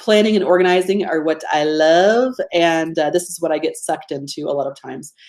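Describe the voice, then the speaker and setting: The speaker, with an American accent, talks at a fairly quick pace with hardly any pauses, big swings in loudness, and ordinary pitch variation. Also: woman, fairly low pitch for a woman. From US state of Georgia. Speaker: business coach running a webinar. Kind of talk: live webinar presentation. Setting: live online webinar. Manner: casual, conversational.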